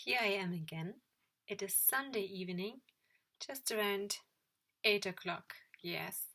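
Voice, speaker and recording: Speaking with a non-native accent and a bright, sharp tone, the voice moves at a fairly slow pace with ordinary pitch variation and long, frequent pauses. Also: woman, medium pitch for a woman. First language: not English. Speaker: yoga teacher trainee and vlogger. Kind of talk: video diary. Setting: at home in her room.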